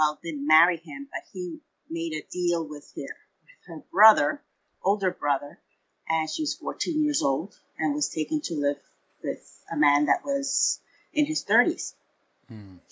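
Speaking at a fairly slow pace, a woman's voice shows big swings in loudness. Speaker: pastor. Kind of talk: casual interview conversation.

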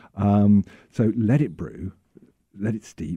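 Over a quiet background, a man with an English accent speaks in a dark, mellow tone. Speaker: tea company representative. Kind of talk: interview.

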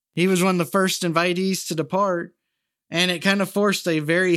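A man talks at a moderate pace, captured in a very clean recording with a silent background. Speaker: podcast host. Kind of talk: true-crime narration, casual and jokey storytelling. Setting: studio podcast. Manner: wry, sarcastic, animated; conversational, with jokes and asides.

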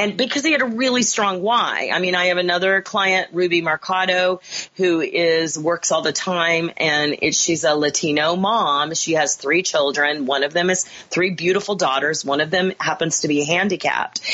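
A woman with an American accent uses an ordinary speaking voice at a fairly low pitch, with ordinary pitch variation. She keeps a moderate pace and a very even loudness, with hardly any pauses. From US Midwest, Kansas. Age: 50s. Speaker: actress and acting career coach. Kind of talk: podcast interview.

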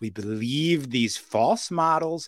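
In a very clean recording with a silent background, the speaker has an animated tone and lively intonation at a fairly slow pace. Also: man. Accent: New York. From New York City. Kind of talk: podcast interview.

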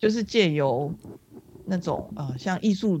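A woman at a fairly slow pace with lively intonation. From Singapore. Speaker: social worker with former sex workers. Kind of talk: interview.

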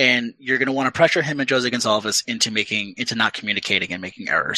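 A bright, sharp voice at a very fast pace, dry and close with no echo. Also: man. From Rhode Island. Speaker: soccer blogger. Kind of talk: casual podcast chat.

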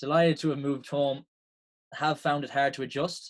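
This man has an Irish accent. He keeps a moderate pace. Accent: Irish (Mayo). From Ireland, County Mayo. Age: 20s. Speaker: Gaelic footballer and former pro athlete. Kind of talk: podcast interview.

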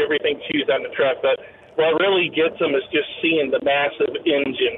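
There is noticeable background noise behind this man. He speaks at a moderate pace with an American accent. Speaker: caller, truck driver. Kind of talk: casual chat. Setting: phone call.

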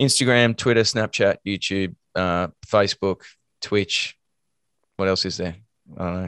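Someone with an Australian accent speaks at a fairly slow pace with fairly even intonation and long, frequent pauses. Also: man, fairly low pitch for a man. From Australia, Melbourne. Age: 40s. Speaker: actor and voice actor. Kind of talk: casual interview.

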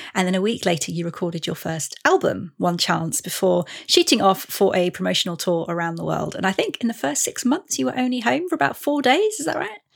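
A woman with an English accent speaks at a fairly quick pace with hardly any pauses. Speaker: podcast host. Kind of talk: interview chat.

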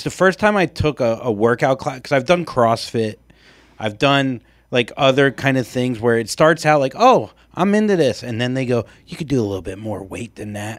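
An ordinary speaking voice from a man, medium in pitch, with lively intonation and a moderate pace, in a very clean recording with a silent background. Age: 40s. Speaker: podcast co-host. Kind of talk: casual chat.

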